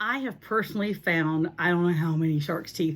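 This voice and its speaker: A woman speaks here. Her pitch is fairly low. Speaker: beachcombing and fossil-hunting video creator. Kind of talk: tutorial. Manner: animated.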